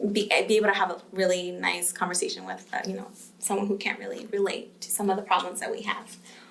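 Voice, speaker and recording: A woman talks very fast with a Spanish accent. Audible room echo and noticeable background noise accompany her. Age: 20s. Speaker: pre-med student. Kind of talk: podcast interview.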